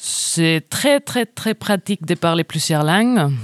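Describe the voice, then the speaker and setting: A woman with a Spanish accent at a very slow pace, lively intonation, a very clean recording with a silent background, and a dry, close sound with no echo. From Spain. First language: Spanish (speaking French). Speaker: venue box office worker. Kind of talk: interview.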